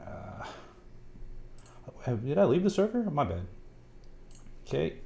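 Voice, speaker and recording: At a moderate pace with long, frequent pauses, a man with a dark, mellow tone and vocal fry speaks at medium pitch, making very wide pitch swings and big swings in loudness. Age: 30s. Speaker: livestreamer building a keyboard. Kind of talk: casual livestream chat. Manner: animated.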